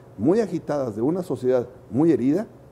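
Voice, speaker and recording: The voice has a dark, mellow tone and very wide pitch swings. Its pace is moderate. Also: man. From Chihuahua, northern Mexico. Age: 60s. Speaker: political candidate. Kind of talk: interview.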